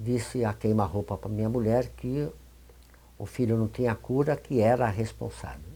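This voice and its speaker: Somewhat breathy, a man speaks at medium pitch with a dark, mellow tone. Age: 80s+. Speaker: spiritist leader and homeopath. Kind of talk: interview testimony. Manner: halting.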